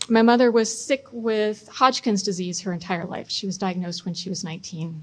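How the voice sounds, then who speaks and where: An unremarkable speaking voice with an American accent uses ordinary pitch variation. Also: woman. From US Midwest (Chicago, Michigan). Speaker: local politician, mayoral candidate. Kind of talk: candidate debate. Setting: public debate event with audience.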